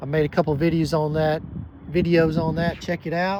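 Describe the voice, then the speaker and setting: A man has a normal speaking voice with a fairly high pitch. He talks at a moderate pace. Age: 60s. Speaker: vehicle reviewer. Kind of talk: video review walkaround. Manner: casual, with many fillers.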